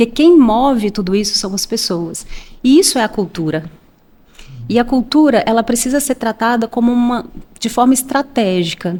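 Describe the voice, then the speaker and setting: Speaking at a moderate pace with a Minas Gerais accent, a woman uses lively intonation and a fairly high pitch. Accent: Minas Gerais (mineiro). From Minas Gerais, Brazil (Belo Horizonte). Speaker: HR manager. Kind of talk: podcast interview.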